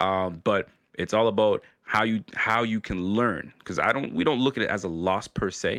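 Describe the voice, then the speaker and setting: A man uses a normal speaking voice. He talks at a moderate pace with ordinary pitch variation. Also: fairly low pitch for a man. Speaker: YouTube show host, Bills fan. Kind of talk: casual chat.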